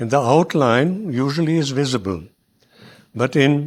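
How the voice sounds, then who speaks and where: On a very clean recording with a silent background, a man with a German accent speaks at a moderate pace, fairly high in pitch, with ordinary pitch variation. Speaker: early community settler. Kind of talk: public talk interview. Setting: hall with audience. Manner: halting.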